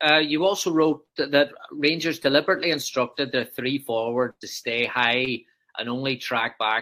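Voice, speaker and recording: Speaking at a moderate pace, this voice carries a Northern Irish accent. The tone is bright and sharp, with ordinary pitch variation. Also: man. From Northern Ireland. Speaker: football coaching podcast host. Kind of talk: casual interview.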